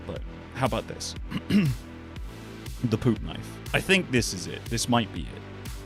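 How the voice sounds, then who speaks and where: Over music in the background, a man speaks at a fairly slow pace with long, frequent pauses and big swings in loudness. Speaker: voice actor. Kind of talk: casual livestream talk to chat.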